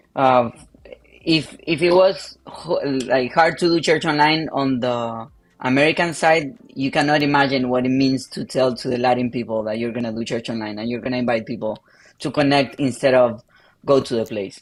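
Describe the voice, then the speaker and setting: A man's medium-pitched voice with a Spanish accent, a moderate pace and ordinary pitch variation. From Argentina. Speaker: pastor. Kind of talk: interview.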